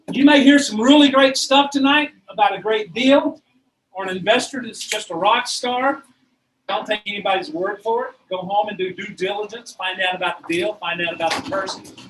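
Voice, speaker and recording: Here a man speaks at a high pitch with lively intonation. His loudness swings widely. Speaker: real estate investor group meeting host. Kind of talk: meeting announcements to a live audience. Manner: fast.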